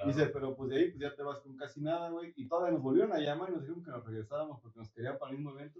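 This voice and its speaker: A man talks at a very fast pace with hardly any pauses. His pitch is fairly high and his loudness swings widely. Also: ordinary pitch variation. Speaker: podcast host. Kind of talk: casual chat.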